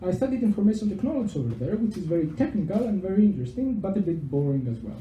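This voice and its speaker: In a Greek accent, the speaker talks very fast with very wide pitch swings. Room echo can be heard. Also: man. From Greece, Thessaloniki. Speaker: PhD researcher. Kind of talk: public talk. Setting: pub venue with audience, microphone.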